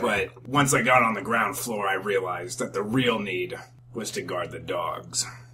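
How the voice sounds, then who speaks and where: A man puts on a raspy character voice at medium pitch. He talks at a moderate pace over clear background noise. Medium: solo performance. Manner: deadpan, hesitant, rambling.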